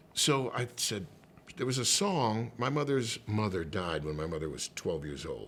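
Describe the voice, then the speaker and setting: A man with an American accent speaks at a fairly low pitch and a moderate pace, with vocal fry. His pitch swings very widely. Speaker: actor, comedian, singer, voice over artist, radio host. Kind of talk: casual interview answer, anecdote telling. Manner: animated, conversational, comedic.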